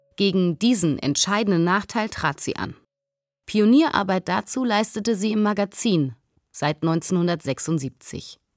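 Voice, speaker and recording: A woman at a medium pitch speaks at a very slow pace with lively intonation, her dry, close sound carrying no echo in a very clean recording with a silent background. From East Berlin, Germany. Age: 40s. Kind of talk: scripted narration.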